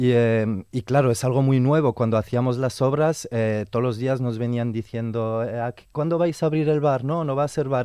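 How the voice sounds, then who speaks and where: A man with a dark, mellow tone speaks at a medium pitch and a moderate pace. His pitch varies in an ordinary way, and the background is quiet. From Belgium. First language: French (speaking Spanish). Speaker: theatre educator and venue organiser. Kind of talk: radio interview.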